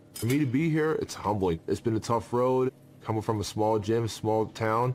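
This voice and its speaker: A man speaks in a normal speaking voice at a medium pitch, with ordinary pitch variation. His loudness stays very even and his pace moderate. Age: 30s. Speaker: mixed martial arts fighter. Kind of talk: interview confessional.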